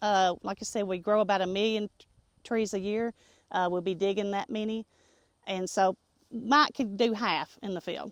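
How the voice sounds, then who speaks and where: A woman at medium pitch with a Tennessee accent, moderate pace, fairly even intonation and big swings in loudness, in a very clean recording with a silent background and a dry, close sound with no echo. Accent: Southern US (Tennessee). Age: 60s. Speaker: nursery co-owner. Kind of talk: interview. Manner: hesitant, many fillers.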